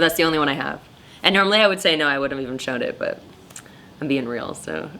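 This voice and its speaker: Amid noticeable background noise, a woman talks at a very fast pace with a very deep, low pitch and ordinary pitch variation. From Costa Rica. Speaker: photographer. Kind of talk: interview. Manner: loud; casual, halting with fillers.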